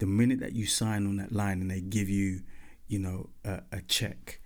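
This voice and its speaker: A man's normal speaking voice, fairly low in pitch, at a moderate pace. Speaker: podcast host and former pop band member. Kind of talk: angry rant, confessional monologue about the music industry, sweary and off the cuff. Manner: candid, bitter, then turning reflective and advisory.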